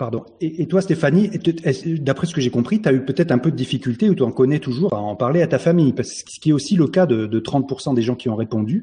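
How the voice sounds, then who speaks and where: This man speaks at a very fast pace with a fairly high pitch and lively intonation. His tone is dark and mellow, and somewhat breathy. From France, Dordogne. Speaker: online show host and writer. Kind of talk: casual chat.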